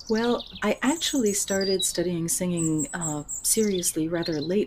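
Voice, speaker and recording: An American accent at a fairly slow pace, with ordinary pitch variation and noticeable background noise. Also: woman. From United States. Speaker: voice teacher and author. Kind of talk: interview.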